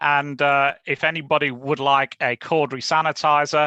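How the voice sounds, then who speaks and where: Bright and sharp in tone, a man with a British accent speaks in a fairly high pitch, recorded dry and close with no echo against a quiet background. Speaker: lawyer. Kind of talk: webinar presentation. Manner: fast.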